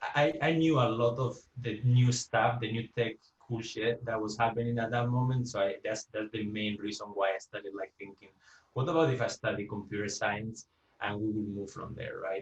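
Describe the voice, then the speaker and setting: A man speaks at a medium pitch and a moderate pace with ordinary pitch variation. His voice is somewhat breathy. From Spain. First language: Spanish. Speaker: UX engineer, guest speaker. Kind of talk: presentation talk. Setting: video call. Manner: halting, many fillers and repeats.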